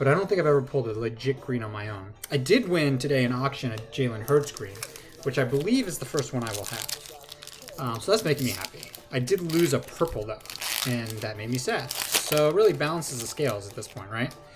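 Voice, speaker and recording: A man at a fairly quick pace, with lively intonation, big swings in loudness and noticeable background noise. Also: medium pitch for a man. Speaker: sports card collector. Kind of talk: casual card-opening vlog. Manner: fast.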